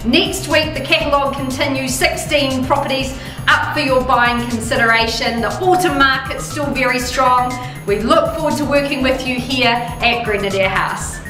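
A woman with a high pitch raises and projects her voice over clear background music, with audible room echo. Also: ordinary pitch variation, moderate pace. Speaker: real estate auctioneer. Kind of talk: real estate auction results recap to camera. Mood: upbeat, warm. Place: office.

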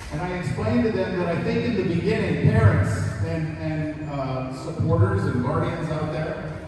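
A man speaks with lively intonation. Strong room echo and noticeable background noise are heard. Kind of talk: speech to an audience. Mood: warm, lightly humorous. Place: hall. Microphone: pa.

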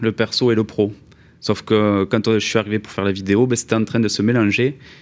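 A man is speaking. His pace is fairly quick. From southwest France (Toulouse). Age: 30s. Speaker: former mason turned video maker; podcast guest. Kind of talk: casual chat. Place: studio. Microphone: studio mic.

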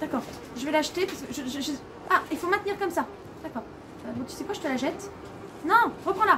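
Projecting a raised voice at a fairly quick pace, a woman speaks with big swings in loudness and ordinary pitch variation over noticeable background noise. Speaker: gamer streamer. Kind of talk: gameplay commentary. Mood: nervous, scared. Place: home room.

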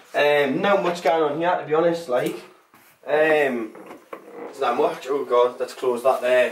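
Audible room echo surrounds a man speaking fairly slowly in a fairly high voice with fairly even intonation.

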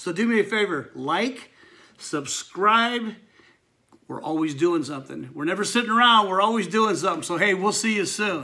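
A man's raised, projected voice, bright and sharp in tone, with lively intonation. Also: moderate pace. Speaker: channel host. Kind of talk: casual vlog chat. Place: garage. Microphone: phone near.

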